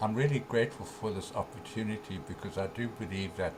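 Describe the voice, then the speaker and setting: Moderate-paced speech from a man, plus audible room echo and noticeable background noise. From South Africa. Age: 70s. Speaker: author and spiritual teacher. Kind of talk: interview. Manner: halting, many fillers.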